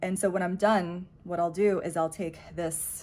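A woman speaks with an unremarkable speaking voice. Her pitch is fairly low and her pace fairly slow. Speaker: beauty vlogger. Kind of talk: casual vlog chat. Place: home room. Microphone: phone near.

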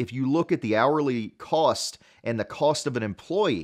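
A man's speech moves through very wide pitch swings against a quiet background. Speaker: dental marketing consultant. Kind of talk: podcast talk to camera. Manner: casual, conversational. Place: home room.

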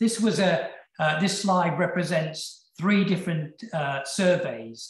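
With a British accent, a man speaks at a very slow pace in a high pitch. The background is quiet, with audible room echo. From UK. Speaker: session chair and epilepsy researcher. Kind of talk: conference lecture and moderation. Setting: online video conference. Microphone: webcam.

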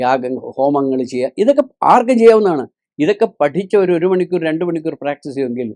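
The tone is dark and mellow, with lively intonation. The sound is dry and close, with no echo. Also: man. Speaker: spiritual teacher. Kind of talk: religious discourse.

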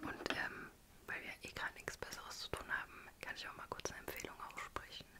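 Fairly quick whispering from a woman. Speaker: ASMR creator. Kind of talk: ASMR whisper video. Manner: whispered. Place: home room. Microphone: studio mic.

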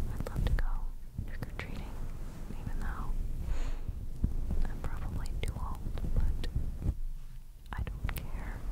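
A fairly slow pace marked by long, frequent pauses. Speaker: ASMR creator. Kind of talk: ASMR trigger video. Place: home room. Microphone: studio mic.

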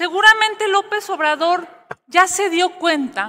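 A woman projects a raised voice with a bright, sharp tone. She speaks very slowly with lively intonation. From Mexico. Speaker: opposition senator. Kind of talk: parliamentary debate. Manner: forceful. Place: hall. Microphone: podium.

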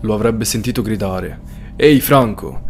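With light background noise behind him, a man at medium pitch speaks in a serious tone. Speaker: true crime storyteller. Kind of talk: true-crime narration. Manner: suspenseful, serious storytelling. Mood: serious, suspenseful. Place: home room. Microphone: studio mic.

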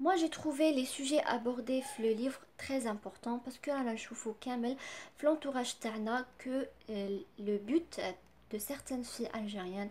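With an Algerian accent, the speaker talks fairly slowly with ordinary pitch variation over light background noise. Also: woman. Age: 20s. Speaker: book reviewer. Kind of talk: book review. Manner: halting, many fillers. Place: home room. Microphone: phone near.

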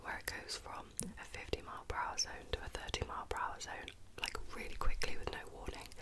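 A woman whispering softly at a very fast pace over loud background noise. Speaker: ASMR creator. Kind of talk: casual chatty storytelling. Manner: soft close-mic whisper. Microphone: studio mic.

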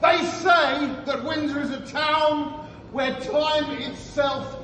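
Over light background noise and audible room echo, a man talks at a very slow pace in an extremely high pitch. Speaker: town crier. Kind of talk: town crier proclamation, rhymed verse. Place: bar. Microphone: camera far.

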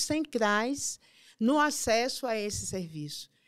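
Lively intonation at a very slow pace, over a quiet background. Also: woman. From Bahia, Brazil (Salvador). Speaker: health council member and activist; health council member. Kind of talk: interview. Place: studio. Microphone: studio mic.

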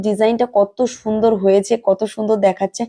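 Dry and close with no echo, a woman's voice sounds fairly high-pitched with a dark, mellow tone. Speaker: sewing tutorial youtuber. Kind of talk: tutorial.

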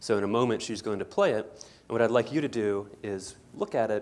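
This man talks at a moderate pace with a fairly low pitch. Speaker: psychologist and professor. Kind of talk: guided meditation, then lecture. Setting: lecture hall with audience. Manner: conversational, explanatory. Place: hall.

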